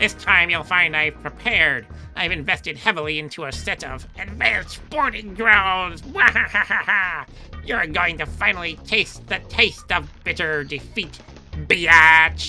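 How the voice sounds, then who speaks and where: A man in a put-on character voice, fairly high-pitched, raised and projected, at a fairly slow pace, with clear music in the background. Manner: smug, gloating.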